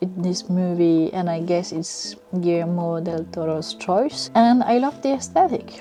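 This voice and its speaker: A woman with a French accent speaks in a fairly low pitch over noticeable background noise. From France. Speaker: book and film reviewer. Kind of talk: casual vlog review.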